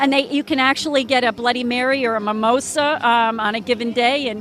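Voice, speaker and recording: With music in the background, a woman talks at a moderate pace in a fairly high voice with ordinary pitch variation and an American accent. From New Jersey. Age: 60s. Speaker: homeopathic wellness practitioner. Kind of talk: casual interview. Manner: hesitant, many fillers.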